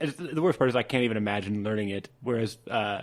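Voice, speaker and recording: An American accent marks this man's unremarkable speaking voice, which sits at medium pitch with ordinary pitch variation and a moderate pace. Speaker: podcast host. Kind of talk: casual interview. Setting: on location at a brewery.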